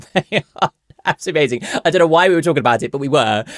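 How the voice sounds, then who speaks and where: The voice belongs to a man with a southern English accent. The sound is dry and close, with no echo. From southern England (Bournemouth). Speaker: content creator, podcast guest. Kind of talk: casual storytelling. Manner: hesitant, many fillers.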